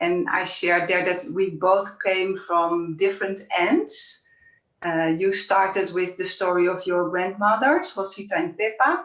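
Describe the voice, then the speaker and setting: At a fairly slow pace, a woman speaks in a plain, everyday voice with fairly even intonation. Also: medium pitch for a woman. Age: 50s. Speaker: women's wisdom speaker. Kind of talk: interview conversation.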